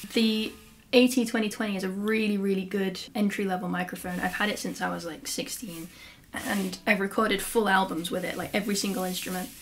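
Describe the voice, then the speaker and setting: Over light background noise, a woman with an East Midlands accent talks at a moderate pace with fairly even intonation. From England, Lincolnshire. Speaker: handpan teacher and musician. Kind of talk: casual tutorial / Q&A vlog. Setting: home studio, solo to camera. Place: home room. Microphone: camera far.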